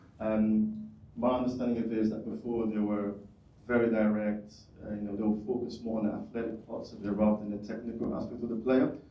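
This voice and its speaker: With a British accent, a man speaks at a very fast pace in a fairly low, monotone voice with flat intonation. Audible room echo and noticeable background noise fill the recording. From United Kingdom. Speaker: audience member asking question. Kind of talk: audience question.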